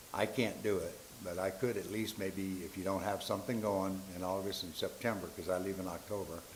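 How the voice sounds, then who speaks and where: Audible room echo follows a voice moving at a fairly quick pace with monotone, flat intonation. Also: man, fairly low pitch for a man. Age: 70s. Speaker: public commenter, Marine Corps veteran. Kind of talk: public comment at school board meeting.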